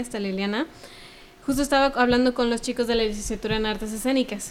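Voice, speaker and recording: A woman speaks with a Mexican accent. Her intonation stays fairly even. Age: 20s. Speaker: cultural producer and former cellist. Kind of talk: casual interview.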